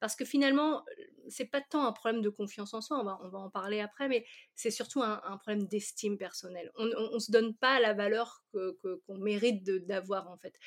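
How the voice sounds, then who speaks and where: This woman talks fairly quickly at a fairly high pitch with ordinary variation. Her loudness swings widely. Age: 40s. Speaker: confidence coach. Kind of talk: casual interview.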